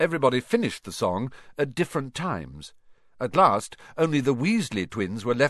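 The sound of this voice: Lively intonation runs through the speech. It is an unforced reading voice.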